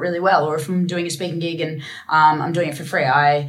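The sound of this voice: Strong room echo surrounds a woman with a husky, low voice. She speaks fast with fairly even intonation.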